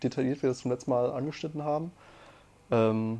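This is a plain, everyday voice, a man of medium pitch speaking at a moderate pace. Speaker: podcast co-host. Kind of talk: casual chat.

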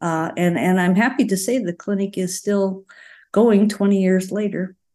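A quiet backdrop surrounds the voice. Its tone is dark and mellow. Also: woman. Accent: Upper Midwest. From rural Wisconsin. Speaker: retired family physician. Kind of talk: casual interview.

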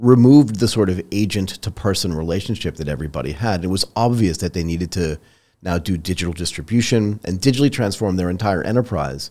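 A man's very deep, low voice with a dark, mellow tone, lively intonation, a very fast pace and hardly any pauses. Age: 50s. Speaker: podcast host. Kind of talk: interview. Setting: video call.

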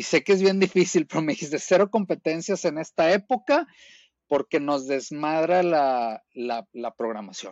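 A man talks in a plain, everyday voice at a fairly high pitch. He goes at a fairly slow pace with lively intonation. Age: 40s. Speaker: masters CrossFit athlete. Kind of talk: casual chat.

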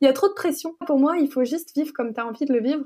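Recorded very cleanly against a silent background, a woman talks at a very fast pace with ordinary pitch variation. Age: 20s. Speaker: entrepreneur. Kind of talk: interview.

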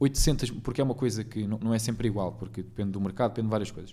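This man has a dark, mellow tone and a European Portuguese accent. His pitch varies an ordinary amount. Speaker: podcast host. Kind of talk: casual chat.

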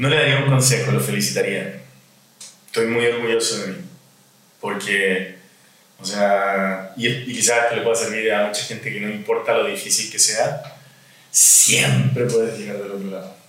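A man's fairly low voice at a moderate pace, with long, frequent pauses, audible room echo and noticeable background noise. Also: lively intonation. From Chile. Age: 50s. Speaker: relationship coach. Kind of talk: interview.

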